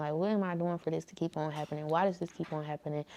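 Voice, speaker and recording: With an ordinary speaking voice, a woman talks at a fairly quick pace with fairly even intonation. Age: young. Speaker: YouTuber. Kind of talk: casual talk to camera.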